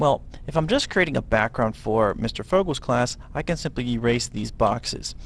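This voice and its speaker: With a plain, everyday voice, a man speaks at a moderate pace and medium pitch, his intonation lively. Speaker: middle school teacher. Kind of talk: software tutorial. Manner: casual, with frequent fillers.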